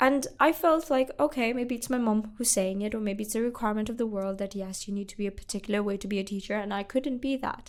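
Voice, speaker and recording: A woman with a Pakistani accent speaks very fast in a fairly high voice. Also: ordinary pitch variation, hardly any pauses. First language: Urdu. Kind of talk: interview.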